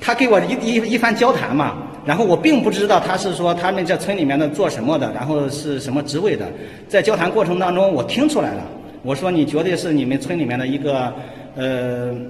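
With audible room echo, a man speaks at a fairly quick pace with lively intonation. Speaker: travel vlogger. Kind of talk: casual vlog chat. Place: hall. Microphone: phone near.

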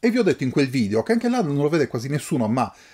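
A man's somewhat breathy voice, dark and mellow in tone. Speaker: book YouTuber. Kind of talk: casual unboxing monologue. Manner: halting.

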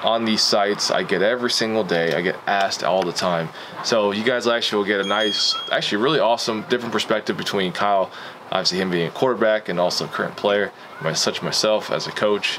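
A man speaks at a fairly quick pace in a fairly low pitch, with ordinary pitch variation. His loudness stays very even over noticeable background noise. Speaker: football coach vlogger. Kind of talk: casual vlog chat. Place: home room.

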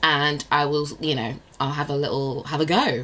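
A woman's very deep, low-pitched voice at a moderate pace. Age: 30s. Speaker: lifestyle blogger and vlogger; lifestyle blogger, vlogger. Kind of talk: casual vlog monologue. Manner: chatty, laughing often. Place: home room. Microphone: phone near.

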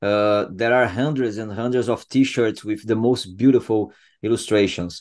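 A man with a Portuguese accent, medium in pitch, at a moderate pace with fairly even intonation over a quiet background. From Brazil. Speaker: podcast host. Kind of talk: interview. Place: home room. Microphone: video call.

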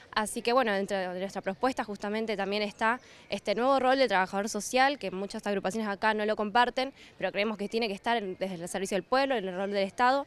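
The woman talks at a very fast pace with fairly even intonation. The sound is dry with no echo. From Argentina. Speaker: student activist. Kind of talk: campaign statement. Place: street. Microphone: handheld.

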